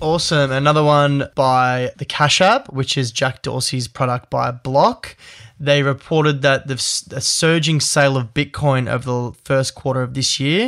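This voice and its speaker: This man has an ordinary speaking voice, fairly high in pitch, with fairly even intonation. He keeps a moderate pace with hardly any pauses. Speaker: podcast host. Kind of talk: casual chat.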